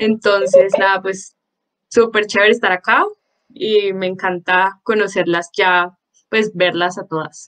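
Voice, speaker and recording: With a normal speaking voice, a woman talks at medium pitch and a fairly slow pace, her pitch varying an ordinary amount. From Colombia, Popayán. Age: 20s. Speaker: law student, book club member. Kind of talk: self-introduction in online group.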